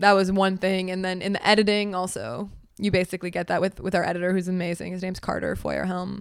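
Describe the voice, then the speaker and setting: Here a woman with an American accent talks very fast. Her pitch is medium and her intonation flat and monotone. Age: 20s. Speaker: filmmaker and writer. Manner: fast talker.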